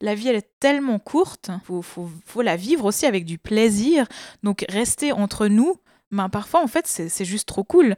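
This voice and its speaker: A woman with a dark, mellow tone speaks at a fairly slow pace and fairly high pitch, with very wide pitch swings. The recording is very clean, with a silent background and a dry, close sound with no echo. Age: 30s. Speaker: activist. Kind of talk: casual chat.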